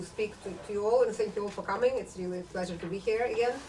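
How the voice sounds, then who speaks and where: A woman's very fast speech with fairly even intonation, audible room echo and noticeable background noise. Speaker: author and political scientist. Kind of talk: book talk lecture.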